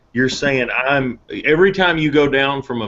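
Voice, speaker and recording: With a normal speaking voice, a man talks at a moderate speed and ordinary pitch variation. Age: 30s. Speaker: firearms company representative. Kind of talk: casual chat.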